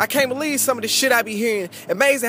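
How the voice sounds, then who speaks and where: A man with an American accent talks at a very fast pace. His pitch is extremely high, with noticeable background noise behind him. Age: young. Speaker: spoken word poet. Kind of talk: spoken word performance.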